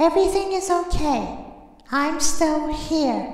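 A put-on character voice at a very slow pace, with clear echo. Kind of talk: voice impressions of game characters.

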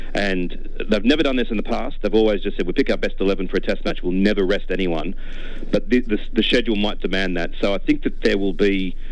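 The speech moves at a fairly quick pace. It carries an Australian accent. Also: man. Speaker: cricket writer. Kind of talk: radio interview. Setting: phone call.

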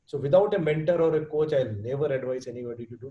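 This voice carries an Indian accent, a dark, mellow tone and a somewhat breathy quality. Its pitch varies in an ordinary way, and audible room echo surrounds it. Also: man. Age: 50s. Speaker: entrepreneur and fitness enthusiast; guest. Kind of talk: podcast interview answer. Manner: casual, mixes Hindi and English. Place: home room. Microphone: video call.

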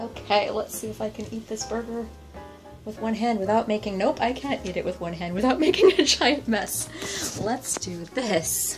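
Clear music in the background beneath a woman's moderate pace. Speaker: home cook food vlogger. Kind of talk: casual vlog chat. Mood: relaxed, pleased. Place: kitchen.

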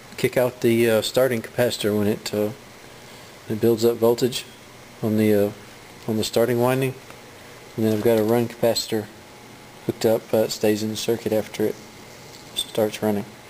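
Light background noise sits under a man's voice. He talks at a fairly quick pace in a monotone, flat intonation. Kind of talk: tutorial. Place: workshop. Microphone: phone near.

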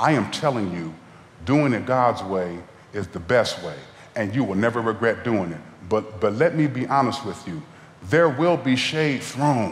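There is audible room echo as a man speaks at a moderate pace. His pitch swings very widely. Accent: American. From Ohio. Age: 40s. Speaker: guest preacher. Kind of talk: sermon. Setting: church. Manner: animated. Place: church. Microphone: headset.

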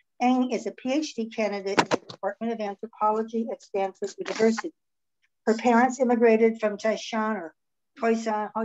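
A woman at a moderate pace with noticeable background noise. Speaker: event host. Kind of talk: speaker introduction. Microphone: video call.

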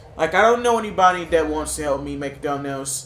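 Audible room echo surrounds a man with a fairly high pitch. He talks at a fairly quick pace with lively intonation. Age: 20s. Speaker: gaming YouTuber. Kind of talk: gameplay commentary.

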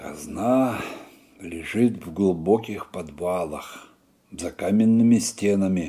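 Over a quiet background, a man speaks very slowly in a dark, mellow tone. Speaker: storyteller. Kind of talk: reading a folk tale aloud. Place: home room.

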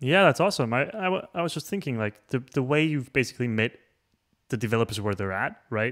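Against a quiet background, a man talks at a fairly quick pace. His pitch swings very widely. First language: not English. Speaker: show host. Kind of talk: casual interview. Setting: video call. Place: home room. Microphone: studio mic.

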